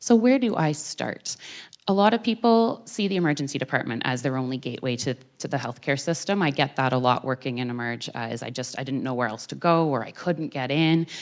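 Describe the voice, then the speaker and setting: A woman with a Canadian accent, very deep and low in pitch, lively in intonation, at a fairly quick pace, on a very clean recording with a silent background. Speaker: doctor. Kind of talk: public talk. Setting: theater with audience. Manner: fast.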